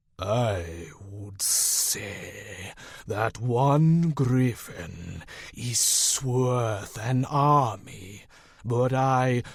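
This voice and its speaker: Putting on a rumbling character voice, a man speaks very slowly at a medium pitch with ordinary pitch variation. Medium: read story. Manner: dry, measured, formal.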